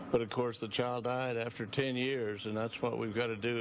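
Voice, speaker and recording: Over noticeable background noise, a man speaks at medium pitch with fairly even intonation, the sound dry with no echo. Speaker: heart surgeon. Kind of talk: TV interview. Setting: live on location at a hospital museum. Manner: halting. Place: office.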